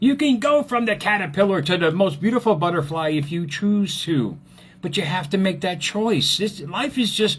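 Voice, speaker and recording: The man's pitch swings very widely as he talks at a moderate pace. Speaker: motivational speaker and author. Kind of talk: motivational talk on Facebook live. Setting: Facebook live stream. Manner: casual, repetitive; animated.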